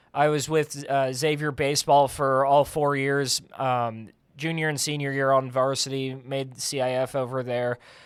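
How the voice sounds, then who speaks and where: A man with an American accent at a fairly high pitch and moderate pace, in a monotone, flat intonation with hardly any pauses. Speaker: play-by-play broadcaster. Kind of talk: radio interview. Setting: radio studio.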